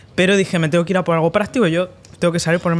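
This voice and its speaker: A man's high voice, moving with ordinary pitch variation, cuts through noticeable background noise. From Spain. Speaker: entrepreneur and investor. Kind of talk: podcast interview. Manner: hesitant, many fillers.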